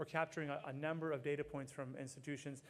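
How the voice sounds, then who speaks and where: With an American accent, the speaker goes at a very fast pace in a monotone, flat intonation. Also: man. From US Northeast, Boston area. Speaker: healthcare program director. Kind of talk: conference talk.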